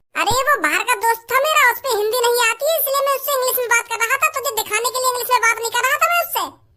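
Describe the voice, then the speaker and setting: In a cartoonish character voice, the speaker rattles on at an extremely high pitch and a very fast pace with hardly any pauses. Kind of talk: comic overacting. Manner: boastful, argumentative.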